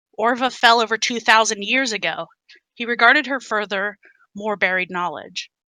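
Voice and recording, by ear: The background stays quiet. A person reads aloud in a natural voice, with ordinary pitch variation.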